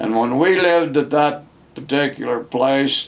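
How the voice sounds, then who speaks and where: The speaker has an American accent and talks at a very slow pace. Background noise is noticeable. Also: man. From Westmoreland, California. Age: 80s+. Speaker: grandfather. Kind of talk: casual life story told to camera.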